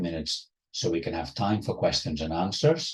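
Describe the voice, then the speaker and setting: Somewhat breathy, a man talks at a fairly quick pace in a dark, mellow tone. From Spain, Barcelona area. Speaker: professor. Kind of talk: lecture.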